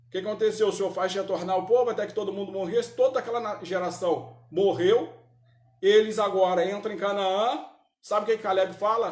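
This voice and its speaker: Amid audible room echo, a man speaks at a high pitch and moderate pace, with an animated tone and ordinary pitch variation. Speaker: Sunday school Bible teacher. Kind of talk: Bible class teaching. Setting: church, live-streamed. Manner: animated, rhetorical questions.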